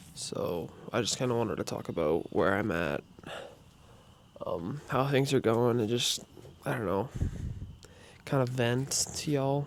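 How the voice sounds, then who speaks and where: Long, frequent pauses from a man at medium pitch, lively intonation and a moderate pace. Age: young. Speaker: vlogger and amateur athlete. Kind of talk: personal vlog, confessional venting. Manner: halting, many filler ums.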